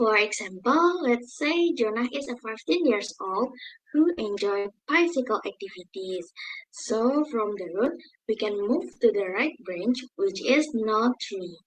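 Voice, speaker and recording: Speaking at a fairly slow pace with an Indonesian accent, a woman uses a fairly high pitch and very wide pitch swings. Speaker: university student presenter. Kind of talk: class presentation.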